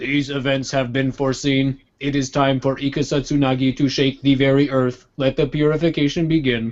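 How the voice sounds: Using a put-on, robotic character voice, a man talks at a medium pitch and a moderate pace in a flat monotone with hardly any pauses.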